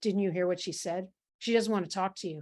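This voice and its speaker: A woman's put-on character voice, gruff and growling, at medium pitch and a very fast pace. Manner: gruff, hostile.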